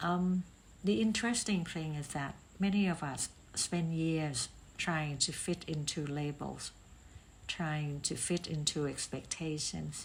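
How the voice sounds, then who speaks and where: The speaker has a non-native accent and sounds somewhat breathy. The pace is fairly slow. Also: woman, very deep, low pitch for a woman, ordinary pitch variation. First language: not English. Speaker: podcast host, talent assessment consultant. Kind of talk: reflective monologue. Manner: hesitant with filler ums.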